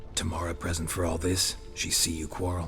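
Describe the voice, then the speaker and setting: Over clear music in the background, a man uses a put-on character voice with a very deep, low pitch at a fairly quick pace. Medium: machinima. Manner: terse, clipped, deadpan.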